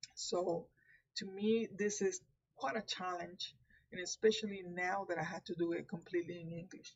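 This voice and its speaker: A woman in a Puerto Rican accent, somewhat breathy, at a fairly slow pace with ordinary pitch variation. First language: Spanish. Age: 50s. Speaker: tarot reader. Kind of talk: live stream talk. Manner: halting.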